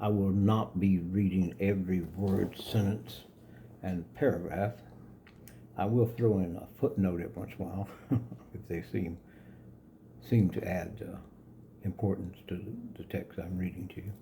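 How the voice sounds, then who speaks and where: A man with a very deep, low pitch and a dark, mellow, somewhat breathy tone speaks at a fairly slow pace with ordinary pitch variation, big swings in loudness and long, frequent pauses. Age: 70s. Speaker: yoga philosophy author. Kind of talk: reading own book with commentary to camera. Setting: home studio. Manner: calm.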